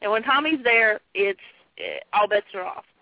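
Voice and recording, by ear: A woman speaks at a moderate pace with a fairly high pitch, very wide pitch swings and vocal fry, in a dry, close sound with no echo.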